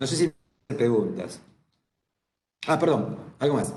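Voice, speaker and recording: A man speaks in an Argentine accent at a moderate pace, somewhat breathy. His pitch swings very widely, and audible room echo surrounds him. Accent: Rioplatense Argentine Spanish. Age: 70s. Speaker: psychologist. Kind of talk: lecture. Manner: conversational, informal.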